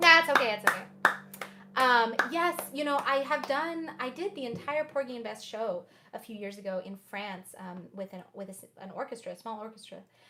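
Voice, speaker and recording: A fairly high-pitched woman with an American accent at a moderate pace, very wide pitch swings, big swings in loudness and noticeable background noise. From Oklahoma. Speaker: jazz pianist and singer. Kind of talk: casual chat with livestream viewers. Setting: livestream concert from home.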